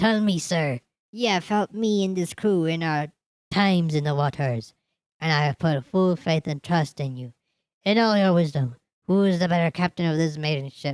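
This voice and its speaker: A put-on character voice, raspy and at a middle pitch, moves at a moderate pace. The recording is very clean with a silent background. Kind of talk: old-style pirate speech. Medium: read story. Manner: menacing, gloating.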